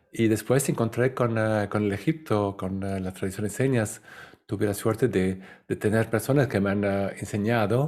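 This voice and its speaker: Against a silent background on a very clean recording, the pitch varies in an ordinary way. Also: man, moderate pace. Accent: non-native. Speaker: spiritual lecturer. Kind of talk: lecture. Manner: halting, many fillers.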